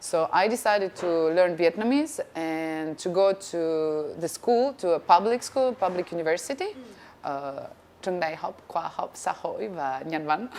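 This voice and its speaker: A woman speaks in a Russian accent with a fairly low pitch. Her intonation is lively and her pace moderate. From Russia, then France from age ten. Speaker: actress and TV presenter. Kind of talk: interview.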